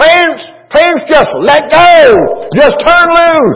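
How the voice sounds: A man performs a put-on character voice. It is shrill and extremely high in pitch.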